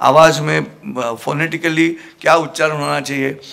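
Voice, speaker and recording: A man talks at a fairly high pitch, with noticeable background noise in the recording. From Maharashtra, India. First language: Marathi (speaking Hindi). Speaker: motivational speaker and Gita preacher. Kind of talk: motivational talk to a student audience. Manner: animated.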